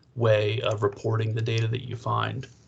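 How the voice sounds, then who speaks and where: A man's somewhat breathy, medium-pitched monotone with flat intonation over a quiet background. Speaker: librarian teaching research skills. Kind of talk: training session. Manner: fast.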